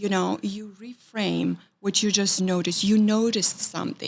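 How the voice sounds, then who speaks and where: A woman with a Romanian accent talks at a medium pitch and a moderate pace. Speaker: writing professor. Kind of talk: interview conversation. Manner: halting, many fillers.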